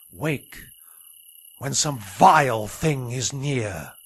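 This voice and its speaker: This man puts on a character voice at a medium pitch. He speaks at a very slow pace. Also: quiet background. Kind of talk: Shakespeare radio drama.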